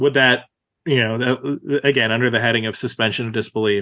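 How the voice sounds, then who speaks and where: A man speaks in an ordinary speaking voice with an American accent. His pitch is medium, his pitch variation ordinary and his pace moderate. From Central Texas. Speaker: podcast co-host. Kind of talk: casual chat.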